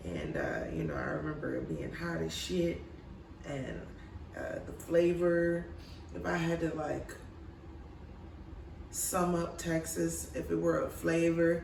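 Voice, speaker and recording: Someone with an American accent speaks fairly slowly, leaving long, frequent pauses, over noticeable background noise. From Michigan. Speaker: comedian. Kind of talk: improvised comedy riffing.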